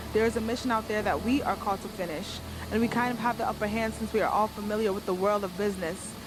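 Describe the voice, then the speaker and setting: The voice has monotone, flat intonation, with music playing in the background. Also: woman. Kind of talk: spoken word poetry performance. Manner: earnest, impassioned.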